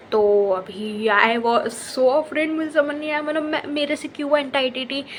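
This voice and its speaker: A woman's voice over noticeable background noise. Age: 20s. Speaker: lifestyle vlogger. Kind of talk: storytelling. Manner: casual, many fillers.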